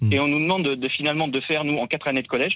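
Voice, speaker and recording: A man speaks with a fairly high pitch. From Vendée, western France. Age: 20s. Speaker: caller, teacher. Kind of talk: phone-in discussion.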